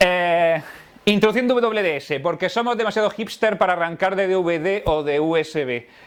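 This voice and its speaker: The man's voice sits at a high pitch and has an animated tone. His pitch variation is ordinary. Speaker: tech conference speaker. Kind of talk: technical talk to live audience. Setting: stage with audience. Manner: fast.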